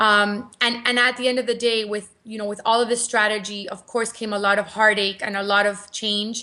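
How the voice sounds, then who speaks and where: With a Cuban American accent, a woman talks at a moderate pace in a fairly high, bright, sharp voice, with hardly any pauses. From Cuban American, US. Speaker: marketing entrepreneur and author. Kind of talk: interview. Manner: animated, repeats words.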